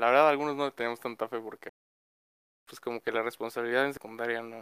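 Speaking with a Mexican accent, a man uses a bright, sharp tone at a medium pitch and fairly even intonation. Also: dry, close sound with no echo. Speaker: student, podcast guest. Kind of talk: casual chat.

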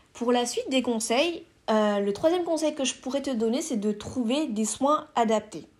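A woman speaks at a fairly slow pace in a high voice with lively intonation, recorded very cleanly against a silent background. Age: 20s. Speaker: content creator, podcast host. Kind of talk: casual solo podcast monologue. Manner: hesitant, many fillers.

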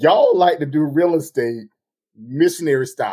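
A man puts on a character voice in a drawling Southern US accent. He talks at a moderate pace with a fairly high pitch.

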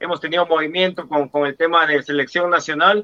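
A man rushes along at a very fast pace, his fairly high pitch held in a monotone, flat intonation. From Guatemala. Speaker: football pundit. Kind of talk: sports talk show.

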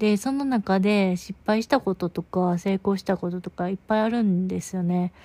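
A woman talks at a moderate pace with a dark, mellow tone and fairly even intonation. The sound is dry and close, with no echo. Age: 20s. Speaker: podcaster. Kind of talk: casual monologue. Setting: in bed. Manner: soft-spoken.

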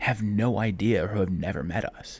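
The speaker sounds somewhat breathy and has an American accent. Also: man. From Ohio, Cleveland. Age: 30s. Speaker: podcast host. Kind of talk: solo monologue. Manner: halting.

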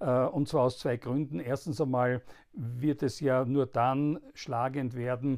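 This man talks at a fairly slow pace in an Austrian accent. His pitch is medium and his intonation fairly even. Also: very clean recording, silent background. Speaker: politician and podcast host. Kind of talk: political commentary monologue. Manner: halting, many filler sounds.

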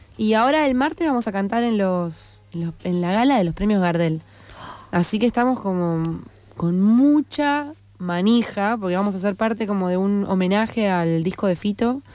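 Her voice has a dark, mellow tone, and the woman uses lively intonation while keeping her loudness very even. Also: medium pitch for a woman, moderate pace. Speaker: singer-songwriter and producer. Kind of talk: radio interview. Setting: radio studio. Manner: halting, many fillers.

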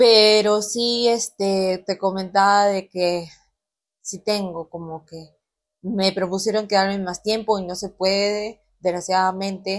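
A woman's medium-pitched voice, very slow and monotone, with flat intonation and big swings in loudness. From Peru, Chiclayo region (Cayaltí). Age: 20s. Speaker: industrial engineer. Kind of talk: casual interview chat.

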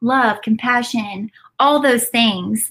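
A woman speaks at a fairly slow pace in an animated tone. Her fairly high pitch shows ordinary pitch variation. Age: 20s. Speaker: entrepreneur and mother. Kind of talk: casual chat.

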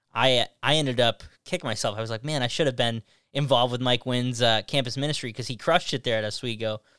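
A man with an upstate New York accent, medium in pitch, with ordinary pitch variation. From upstate New York, Syracuse area. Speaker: youth minister and podcast host. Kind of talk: casual interview.

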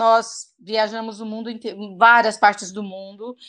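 Against a quiet background, a woman speaks at a fairly slow pace and fairly high pitch. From Brazil, interior of Goiás. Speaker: English teacher. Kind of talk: interview.

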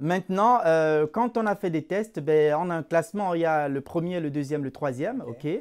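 Speaking at a moderate pace with hardly any pauses, a man uses a fairly high pitch and ordinary pitch variation. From Cameroon. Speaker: employment coach and recruiter. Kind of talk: interview. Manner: halting, repeats words.

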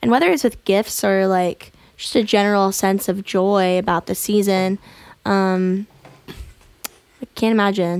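A plain, everyday voice with an American accent, fairly even intonation and a fairly slow pace, in a dry, close sound with no echo. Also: woman, medium pitch for a woman. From Florida. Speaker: musician. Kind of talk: casual chat. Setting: studio.

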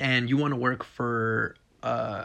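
With an American accent, a man talks in an animated tone over a quiet background. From Texas. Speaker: podcast host, business owner, Marine veteran. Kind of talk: motivational podcast monologue. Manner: animated, laughs often.

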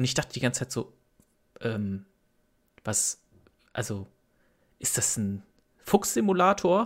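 A somewhat breathy male voice with very wide pitch swings at a fairly slow pace, on a very clean recording with a silent background. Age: 30s. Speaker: streamer. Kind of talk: casual chat. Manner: halting, many repetitions.

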